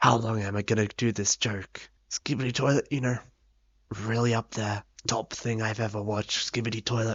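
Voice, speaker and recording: With an Australian accent, a man speaks at medium pitch. His pace is moderate and his intonation fairly even. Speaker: gaming youtuber. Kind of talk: video essay narration.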